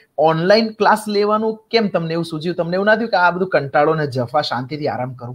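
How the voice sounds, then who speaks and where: A man with a high pitch speaks with lively intonation. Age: young. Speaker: show host; talk show host. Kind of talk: casual interview. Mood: warm, admiring, lively. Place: home room. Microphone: video call.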